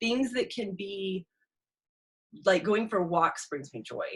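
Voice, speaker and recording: A woman speaks at a fairly quick pace with lively intonation. Her pitch sits in the middle range. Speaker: inspirational speaker and mentor. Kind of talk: live motivational talk. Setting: live stream on Zoom and Facebook. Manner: fast.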